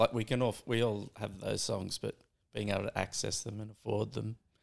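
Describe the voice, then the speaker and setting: The pace of this speech is moderate. It is delivered in an Australian accent. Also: man. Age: 40s. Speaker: surf filmmaker. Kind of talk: casual chat.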